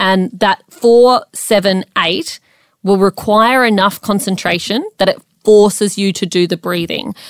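In an ordinary speaking voice, a woman talks at a moderate pace and medium pitch with fairly even intonation, the sound dry and close with no echo on a very clean recording over a silent background. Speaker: podcast co-host. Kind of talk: pep talk, coaching-style explainer addressed directly to listeners. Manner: direct, encouraging address to 'folks'.

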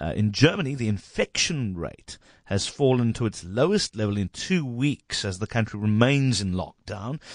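A man's medium-pitched, normal speaking voice with lively intonation at a moderate pace, dry and close with no echo and a quiet background. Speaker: radio host. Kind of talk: radio news interview. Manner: casual, jokey.

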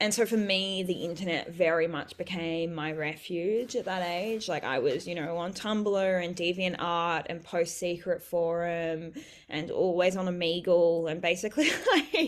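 Against a quiet background, a woman with an Australian accent speaks at a fairly slow pace in a fairly low voice with fairly even intonation. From rural New South Wales, Australia (Bellingen area). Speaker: writer and sex worker. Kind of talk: casual interview.

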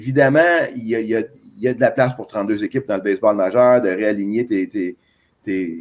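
A man is speaking. He has an ordinary speaking voice at a medium pitch. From Quebec. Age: 50s. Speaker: baseball scout. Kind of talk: interview.

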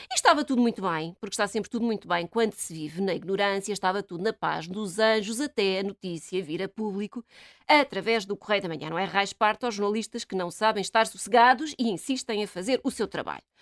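An animated voice moves at a fairly quick pace with hardly any pauses and ordinary pitch variation. The recording is very clean with a silent background and a dry, close sound with no echo. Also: woman, medium pitch for a woman. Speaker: radio commentator. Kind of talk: casual chat.

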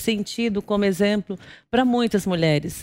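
Recorded very cleanly against a silent background, a woman speaks at medium pitch with ordinary pitch variation. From Brazil, Guarulhos (São Paulo). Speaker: business executive. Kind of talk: interview, personal life story. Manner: calm, serene.

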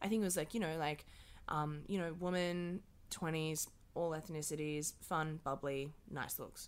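A woman talks in a very deep, low pitch with an Australian accent. Her intonation stays fairly even. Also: moderate pace. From Australia, Dubbo, New South Wales. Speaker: casting director. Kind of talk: casual interview.

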